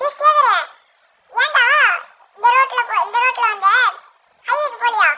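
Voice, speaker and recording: A put-on character voice speaks at a very slow pace. It is squeaky and extremely high-pitched. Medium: audio drama. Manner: casual, colloquial.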